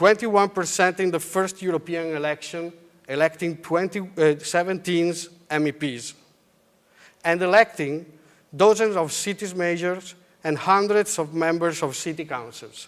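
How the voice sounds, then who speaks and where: Speaking in an Italian accent at a moderate pace, a man uses a high pitch with ordinary pitch variation. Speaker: politician. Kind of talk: conference speech. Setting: stage with audience.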